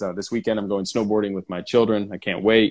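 A man with an American accent and a fairly low pitch uses a plain, everyday voice with fairly even intonation. The recording is very clean, with a silent background. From US West Coast, San Diego. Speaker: entrepreneur. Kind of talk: casual interview chat. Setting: live stream.

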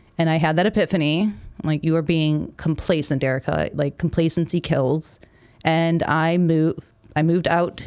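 A woman speaks at a moderate pace with an American accent, in a normal speaking voice. Her pitch is fairly low, her intonation fairly even and her loudness very even. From Milwaukee, Wisconsin. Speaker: army veteran and marketer. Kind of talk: casual interview chat.

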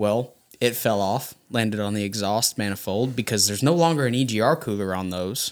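This man has a fairly low pitch and a Texan accent. He talks fairly quickly with ordinary pitch variation. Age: 30s. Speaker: dealer mechanic. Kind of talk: casual chat.

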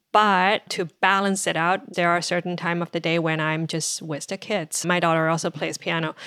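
A woman with a Chinese accent speaks at a moderate pace in a fairly low pitch, her bright, sharp tone carrying fairly even intonation in a dry, close sound with no echo. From China (Shanghai). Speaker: marketing executive. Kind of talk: podcast interview. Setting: home office, remote.

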